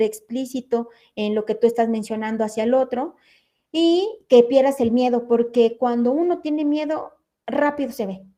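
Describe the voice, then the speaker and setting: Against a quiet background, a woman with a high voice and a dark, mellow tone talks at a moderate pace with ordinary pitch variation. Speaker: forensic expert instructor. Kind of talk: lecture.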